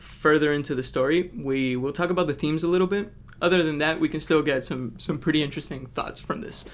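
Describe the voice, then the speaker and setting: Ordinary pitch variation marks this man's fairly high-pitched voice. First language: not English. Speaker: book reviewer. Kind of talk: casual analysis video. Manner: casual, frequent fillers.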